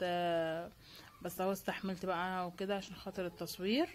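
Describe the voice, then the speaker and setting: A woman at a moderate pace. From Egypt, Cairo. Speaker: lifestyle vlogger. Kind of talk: casual vlog narration. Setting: outdoors in the street by a bread oven. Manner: chatty, with many fillers.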